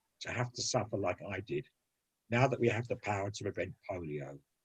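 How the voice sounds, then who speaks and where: With lively intonation, a man speaks at a moderate pace in a somewhat breathy voice. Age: 70s. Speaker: polio survivor. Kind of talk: recorded testimony.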